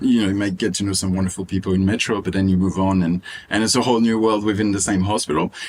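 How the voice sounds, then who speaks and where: A man's fairly low voice with a French accent, very fast and monotone with flat intonation, very even in loudness, over noticeable background noise. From Réunion Island. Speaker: medical student. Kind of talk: interview.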